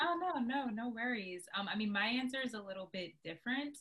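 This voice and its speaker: A plain, everyday voice at a moderate pace. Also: woman. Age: 20s. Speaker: nonprofit program director. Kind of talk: casual interview.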